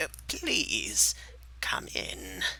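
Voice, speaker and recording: In a put-on character voice, a man speaks with a very deep, low pitch that is creaky and raspy. Light background noise can be heard. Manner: polite invitation to come in.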